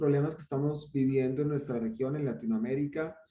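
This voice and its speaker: A man with a Colombian accent has a dark, mellow tone. Audible room echo surrounds his voice. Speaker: online course host. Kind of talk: welcome speech. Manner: hesitant, with many fillers.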